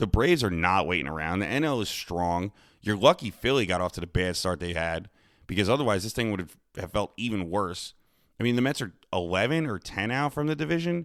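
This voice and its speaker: At a fairly quick pace, the voice moves through very wide pitch swings on a very clean recording with a silent background. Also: man, fairly low pitch for a man. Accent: American. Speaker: sports podcast host. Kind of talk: sports talk monologue. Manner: subdued, not loud.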